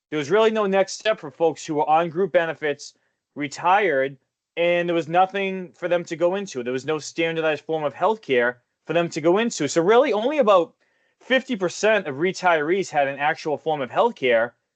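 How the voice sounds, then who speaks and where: Over a quiet background, in a dry, close sound with no echo, a man with a Boston accent talks at a fairly quick pace and high pitch with lively intonation. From Boston area, US. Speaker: retirement investment consultant. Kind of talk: webinar presentation. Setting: online webinar.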